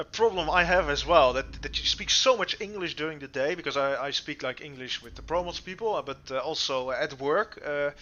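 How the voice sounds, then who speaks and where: A man with a Dutch accent talks at a fairly quick pace with hardly any pauses. His pitch is fairly high with ordinary variation, and his loudness swings a lot. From Netherlands. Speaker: streamer. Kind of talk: casual chat. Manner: halting.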